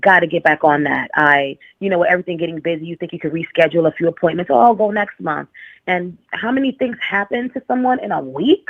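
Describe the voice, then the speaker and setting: Speaking at a very fast pace, a woman with a strong New York accent uses a fairly low pitch. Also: lively intonation. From New York, the Bronx. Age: 30s. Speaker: caller. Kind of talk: casual chat.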